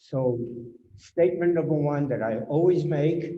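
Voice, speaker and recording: Audible room echo surrounds a man speaking at a very slow pace. His dark, mellow tone is somewhat breathy, with ordinary pitch variation. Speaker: Holocaust survivor. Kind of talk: testimony.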